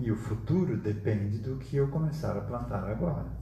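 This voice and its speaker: Audible room echo surrounds a man whose dark, mellow tone carries lively intonation and vocal fry. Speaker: spiritist study group leader. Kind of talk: lecture. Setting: live stream.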